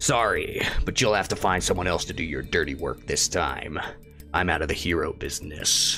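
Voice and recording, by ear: Over clear background music, a man uses a put-on character voice at a moderate pace.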